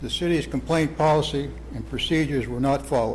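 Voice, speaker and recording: A man with an American accent at a moderate pace, in audible room echo. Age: 80s+. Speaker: resident speaking at public hearing. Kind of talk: public comment at city meeting. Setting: city planning commission meeting. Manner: formal.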